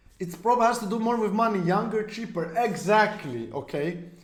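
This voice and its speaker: In a room with audible echo, a man speaks at a high pitch. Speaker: esports streamer. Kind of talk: live stream chat. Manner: intense, sounds mad.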